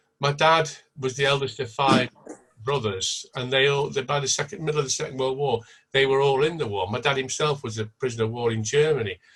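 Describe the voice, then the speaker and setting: Here a man speaks with a Lancashire accent at a medium pitch. He goes at a fairly quick pace with ordinary pitch variation. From Blackpool, northern England. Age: 70s. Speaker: event participant. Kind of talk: online panel discussion. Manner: halting.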